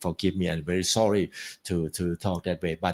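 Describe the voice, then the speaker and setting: A man with a Thai accent on a very clean recording with a silent background. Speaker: guest speaker at graduation. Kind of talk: speech. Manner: halting.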